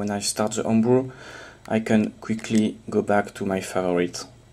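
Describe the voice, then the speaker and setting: A man's fairly low voice moves along at a moderate pace. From France, Toulouse. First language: French. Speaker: homebrew software developer. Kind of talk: software demo tutorial. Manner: hesitant with fillers.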